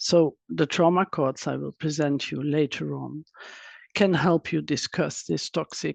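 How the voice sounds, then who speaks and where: The speaker has a non-native accent. The background is quiet. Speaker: trauma expert and psychotherapist. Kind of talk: webinar presentation. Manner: halting, with fillers and restarts.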